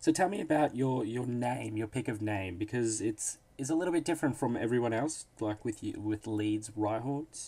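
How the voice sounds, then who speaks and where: A man speaks with an Australian accent at a medium pitch and moderate pace. His tone is dark and mellow, with ordinary pitch variation. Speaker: interviewer, league announcer. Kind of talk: casual interview.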